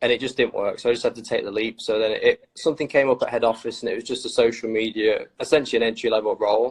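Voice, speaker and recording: With a Lincolnshire accent, a man speaks at a very fast pace with hardly any pauses. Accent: Grimsby. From northern England, Grimsby. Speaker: trainer retail social media staffer. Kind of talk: casual chat.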